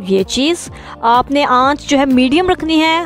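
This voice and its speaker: Faint music plays behind a woman who speaks with ordinary pitch variation. The sound is dry, with no echo. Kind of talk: cooking tutorial narration. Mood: warm, friendly. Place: kitchen.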